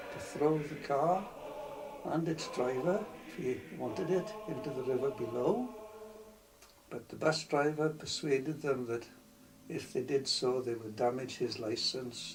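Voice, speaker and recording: Over noticeable background noise, a man talks at a fairly slow pace, his fairly high pitch carried by lively intonation. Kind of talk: personal reminiscence storytelling.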